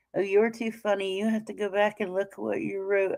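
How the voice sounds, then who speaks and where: A woman with a medium pitch is heard in a very clean recording with a silent background. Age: middle-aged. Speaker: true crime livestream host. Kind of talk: casual livestream chat. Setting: livestream. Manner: halting.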